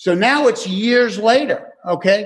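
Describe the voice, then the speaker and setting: The speaker is male. His pitch shifts in an ordinary way. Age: 70s. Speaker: AA speaker. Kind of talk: testimony.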